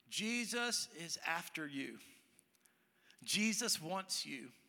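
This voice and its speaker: With lively intonation, a man speaks in a raised, projected voice. His tone is bright and sharp. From Texas, Dallas. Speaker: pastor. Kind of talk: sermon. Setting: church with congregation.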